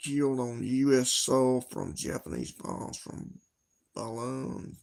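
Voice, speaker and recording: A man speaks at a very slow pace. His voice sits at a medium pitch. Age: 60s. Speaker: livestreamer. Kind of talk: casual chat. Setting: livestream. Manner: halting.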